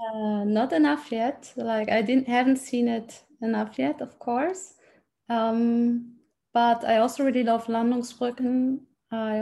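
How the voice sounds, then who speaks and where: A woman speaks with a fairly high pitch and a dark, mellow tone. Her pace is fairly slow, her pitch varies in an ordinary way, and the background is quiet. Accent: German. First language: German. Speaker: language exchange student. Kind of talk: casual interview.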